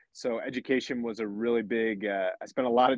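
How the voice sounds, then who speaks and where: This man has a plain, everyday voice with an American accent. His pitch is medium and his intonation fairly even. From rural Pennsylvania, near Lancaster. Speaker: fighter pilot. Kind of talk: interview conversation.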